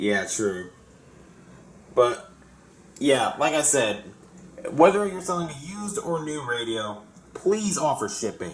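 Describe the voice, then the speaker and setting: Over noticeable background noise and audible room echo, a man talks at a fairly slow pace with very wide pitch swings. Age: 20s. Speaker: radio collector. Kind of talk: casual group chat. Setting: group voice call.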